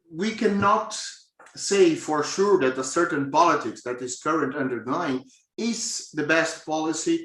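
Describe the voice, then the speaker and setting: A man speaks with a strong Brazilian accent at a fairly high pitch. His pace is fairly slow. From southern Brazil, Florianópolis. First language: Portuguese. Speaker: professor. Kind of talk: lecture. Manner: hesitant with fillers.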